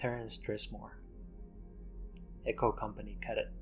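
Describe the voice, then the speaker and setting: A soft-spoken man with a Finnish accent at a moderate pace, music in the background. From Finland. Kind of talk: ASMR gaming commentary.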